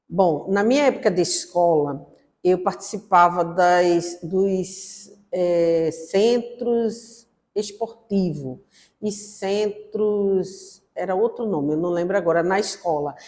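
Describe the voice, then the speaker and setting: The pitch of a woman's voice varies in an ordinary way. She talks very slowly. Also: medium pitch for a woman. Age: 60s. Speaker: former student activist, interviewee. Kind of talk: documentary interview testimony. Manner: halting, with fillers.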